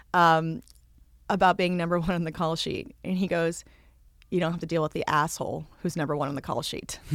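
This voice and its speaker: A woman's ordinary speaking voice, fairly low in pitch with ordinary pitch variation, at a fairly quick pace on a very clean recording with a silent background. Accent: American. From Boston, US. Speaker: actress. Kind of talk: casual chat.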